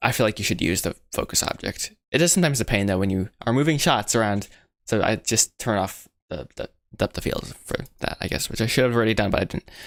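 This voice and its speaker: Talking at a very fast pace with an American accent, a man keeps a medium pitch and ordinary pitch variation on a very clean recording with a silent background. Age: young. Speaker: animator streamer. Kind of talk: live tutorial stream. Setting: live stream. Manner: casual, halting with fillers.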